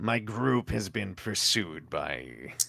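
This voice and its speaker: A man puts on a character voice. It is raspy and fairly low in pitch. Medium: actual play. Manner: slow, measured, few words.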